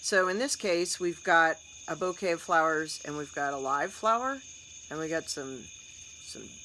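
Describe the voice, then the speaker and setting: Over light background noise, a woman with an American accent speaks in a very deep, low pitch with a bright, sharp tone and ordinary pitch variation. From United States. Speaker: storytelling and content coach; content coach. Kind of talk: tutorial. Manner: animated. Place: home room. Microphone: phone near.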